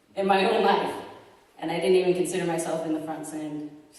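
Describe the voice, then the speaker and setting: Fairly quick speech from a woman with a fairly low pitch, amid noticeable background noise and audible room echo. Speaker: ministry school student. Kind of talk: testimony. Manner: animated; hesitant, many fillers.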